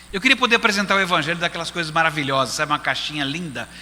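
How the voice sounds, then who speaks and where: Lively intonation marks this man's speech, heard against noticeable background noise. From Brazil, Recife. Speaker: pastor. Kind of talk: sermon.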